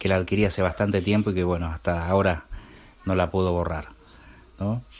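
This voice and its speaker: This man's voice is very deep and low, delivered in a monotone with flat intonation. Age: 40s. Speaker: podcast host, tech tutorials for blind users. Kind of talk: casual solo podcast with tutorials and gameplay commentary. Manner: halting, many fillers.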